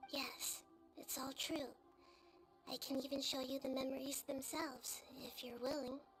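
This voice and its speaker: Against clear background noise, a female-sounding voice does a high-pitched, put-on character voice with monotone, flat intonation and long, frequent pauses. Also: moderate pace. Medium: video game. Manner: soft-spoken, measured.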